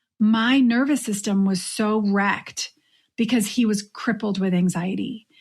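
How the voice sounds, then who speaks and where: A woman's somewhat breathy, fairly high voice at a fairly slow pace, with fairly even intonation, very even loudness, and a very clean recording over a silent background. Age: middle-aged. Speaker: podcast host, coach for midlife women. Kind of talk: solo podcast monologue.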